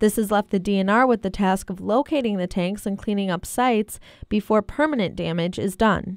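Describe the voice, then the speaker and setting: A woman with an American accent talks at a fairly quick pace with hardly any pauses, using an unremarkable speaking voice. Her pitch sits in the middle range with ordinary variation, and the recording is very clean against a silent background. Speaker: student journalist / TV news reporter. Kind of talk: TV news report.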